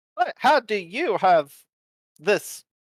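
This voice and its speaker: A put-on character voice, fairly high in pitch, with very wide pitch swings. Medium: actual play. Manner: formal, clipped, literal.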